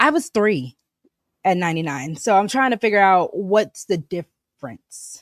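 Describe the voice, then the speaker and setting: At a moderate pace, a medium-pitched woman's voice swings very widely in pitch, with a dry, close sound and no echo. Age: 30s. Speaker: podcast host. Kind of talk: casual chat.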